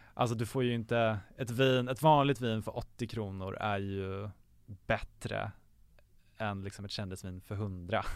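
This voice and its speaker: In a very clean recording with a silent background, a man talks in a plain, everyday voice at a fairly slow pace, with fairly low pitch and fairly even intonation. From Sweden, Gävle. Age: 20s. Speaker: podcast guest. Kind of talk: casual chat.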